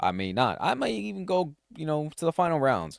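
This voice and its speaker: Recorded very cleanly against a silent background, a man with a fairly high pitch swings very widely in pitch, the sound dry and close with no echo. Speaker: solo tech podcast host. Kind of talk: casual solo podcast talk. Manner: halting, frequent restarts and fillers.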